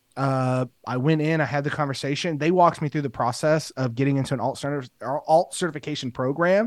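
The speaker has an unremarkable speaking voice, moving at a fairly quick pace with ordinary pitch variation. The recording is very clean and the background silent. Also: man, fairly high pitch for a man. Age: 30s. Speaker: teacher and assistant principal, podcaster. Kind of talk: interview, personal story.

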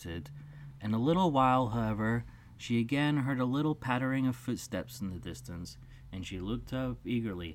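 Throughout the recording, one hears a natural reading voice.

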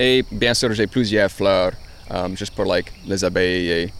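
A man's very deep, low voice at a fairly slow pace, with noticeable background noise. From Louisiana. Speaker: journalist and gardener. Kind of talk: casual interview.

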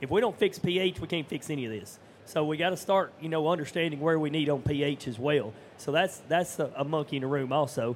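A man with an unremarkable speaking voice talks at a fairly quick pace, his pitch fairly high and its variation ordinary. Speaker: farmer.

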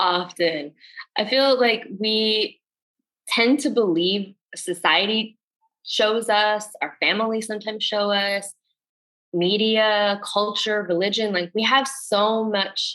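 With an American accent and a bright, sharp tone, a woman speaks at a very slow pace with ordinary pitch variation. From northern New Jersey, US. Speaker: coach and healing facilitator. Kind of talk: casual chat.

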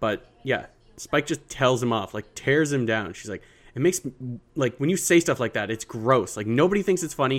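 In a very clean recording with a silent background, a man with a plain, everyday voice talks at a moderate pace and medium pitch with lively intonation. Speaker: podcast co-host. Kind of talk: casual chat.

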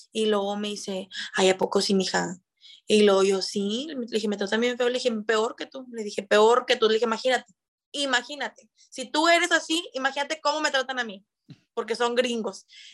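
A woman speaks in an ordinary speaking voice with a fairly high pitch. Her pitch variation is ordinary, and her pace is moderate. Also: very clean recording, silent background. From Mexico, Monterrey. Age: 20s. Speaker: call center agent and TikTok creator. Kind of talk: casual chat.

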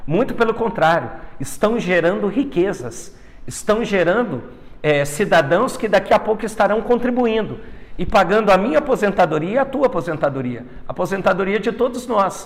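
Keeping his loudness very even, a man speaks at a moderate pace and high pitch with lively intonation. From Brazil, northern Paraná. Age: 30s. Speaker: politician. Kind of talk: interview.

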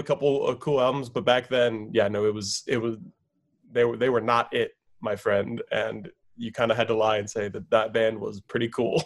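Here is a man with an ordinary speaking voice. He talks at a fairly quick pace with a medium pitch. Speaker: guest. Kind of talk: casual chat. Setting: video call.

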